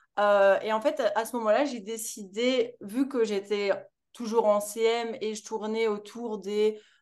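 A woman speaks very slowly in a fairly high, flat monotone. The background is quiet. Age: 20s. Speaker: entrepreneur. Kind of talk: casual chat.

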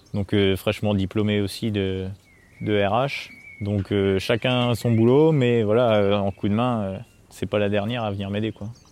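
A man with a fairly low pitch, fairly even intonation and a fairly slow pace. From Normandy, France (near Caen). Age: 20s. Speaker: dairy farmer. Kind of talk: interview. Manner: hesitant with filler words.

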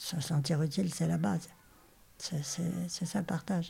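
With vocal fry and a dark, mellow tone, a woman speaks at a fairly low pitch with ordinary pitch variation. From Normandy, France. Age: 80s+. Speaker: retiree and volunteer. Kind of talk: interview testimony. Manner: halting.

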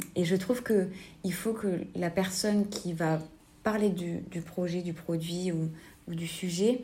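Audible room echo surrounds a woman with a fairly low pitch. Her intonation is monotone and flat. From southern France, Albi area. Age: 30s. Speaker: clothing shop owner. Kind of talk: interview. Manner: hesitant, many fillers.

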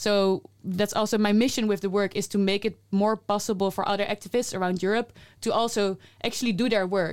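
A woman with a Dutch accent speaks at a medium pitch and a fairly quick pace, her intonation flat and monotone and her loudness very even. The recording is very clean, with a silent background. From Netherlands. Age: 30s. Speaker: climate activist. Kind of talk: casual conversation.

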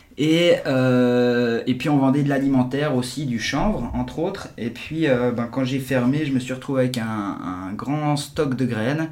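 The voice moves at a fairly slow pace with ordinary pitch variation, with audible room echo and noticeable background noise. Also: man, medium pitch for a man. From Geneva, Switzerland. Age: 40s. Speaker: entrepreneur. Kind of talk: casual interview. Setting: in person, office. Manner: halting, many repetitions.

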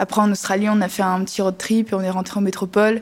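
A woman's very fast delivery in a flat, monotone intonation. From France, partly raised in French Polynesia. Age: 18. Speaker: biology student and young activist. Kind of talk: interview testimony.

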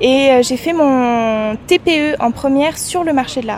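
In a high pitch, a woman is speaking. Noticeable background noise runs behind her. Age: 20s. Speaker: law graduate, trainee lawyer. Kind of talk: interview.

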